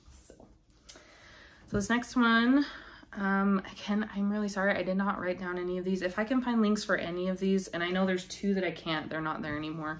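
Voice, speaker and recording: A mumbling woman at a fairly quick pace, medium in pitch, with ordinary pitch variation. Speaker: crafting youtuber. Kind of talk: casual show-and-tell vlog. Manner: hesitant, filler-heavy.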